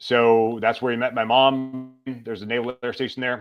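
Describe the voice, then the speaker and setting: Music plays in the background. A man with an American accent speaks at a medium pitch. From US South, Mississippi. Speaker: retired Navy SEAL, author. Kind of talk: podcast interview, life story.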